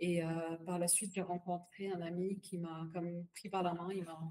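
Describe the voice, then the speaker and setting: A woman speaks in an Arabic accent with a dark, mellow tone, a somewhat breathy quality and a fairly low pitch. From Palestinian family. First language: Arabic (speaking French). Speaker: bitcoin wallet executive. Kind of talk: podcast interview. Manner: hesitant, many fillers and repetitions; code-switches to English phrases.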